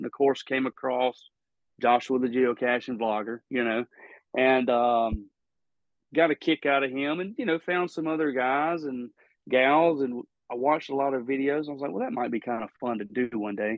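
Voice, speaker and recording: A man speaks at a moderate pace with a slight Southern US accent. His pitch sits in the medium range. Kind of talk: casual interview chat.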